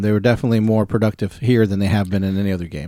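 The man's voice has a dark, mellow tone. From US mid-Atlantic. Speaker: sports podcast host. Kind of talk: casual chat.

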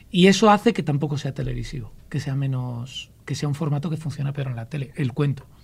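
A man with a Castilian accent speaks at a fairly quick pace in a fairly high, somewhat breathy voice with ordinary pitch variation and hardly any pauses. The recording is very clean, with a silent background. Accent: Castilian inland accent, noticeable. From Ávila, central Spain. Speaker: storyteller. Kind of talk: casual chat.

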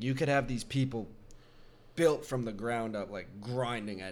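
A man talks at a moderate pace and a medium pitch. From Canada. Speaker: podcast host. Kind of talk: casual chat about wrestling. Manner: casual, animated.

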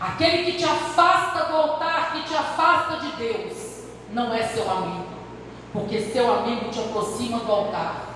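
Animated and passionate in tone, a woman talks at a fairly slow pace in a high pitch with very wide pitch swings. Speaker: preacher. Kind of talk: sermon. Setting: church. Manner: animated, passionate, preaching in full flow with direct appeals and anecdotes.

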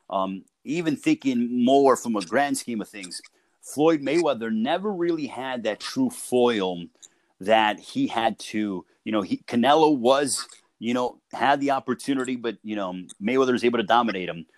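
A man with an American accent has an unremarkable speaking voice, medium in pitch, with lively intonation at a moderate pace. The sound is dry and close, with no echo. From Chicago. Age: 30s. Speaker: boxing play-by-play announcer. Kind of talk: casual chat. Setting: call.

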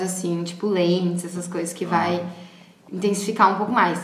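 Background noise is noticeable. There is audible room echo. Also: woman. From Paraguay. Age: 20s. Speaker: artist and makeup artist. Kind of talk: casual interview chat. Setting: at home.

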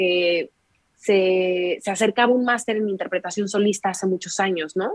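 A woman speaks at a medium pitch and a moderate pace, with ordinary pitch variation, in a plain, everyday voice. The sound is dry and close, with no echo. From Mexico, Querétaro. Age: 20s. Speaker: violinist. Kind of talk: casual interview.

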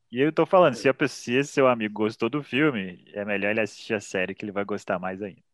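Barely pausing at all, a man talks at a very fast pace. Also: ordinary pitch variation. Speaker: podcast host. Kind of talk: casual chat.

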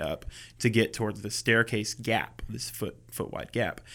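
A man with a medium-pitched voice and vocal fry talks at a moderate pace on a very clean recording with a silent background. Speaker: realtor and photographer. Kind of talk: casual interview. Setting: real estate office studio.

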